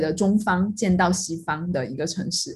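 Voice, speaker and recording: A woman is speaking with ordinary pitch variation. Her voice is somewhat breathy. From Sichuan, China (Yibin; schooled in Chongqing). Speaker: podcast co-host. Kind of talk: casual chat.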